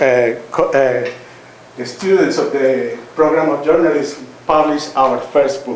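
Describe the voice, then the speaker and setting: Amid noticeable background noise and audible room echo, a man with a Colombian accent and a fairly high pitch speaks with fairly even intonation. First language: Spanish. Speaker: author and university teacher. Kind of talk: public talk at a reading event. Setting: lecture hall with audience. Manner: halting, with many fillers.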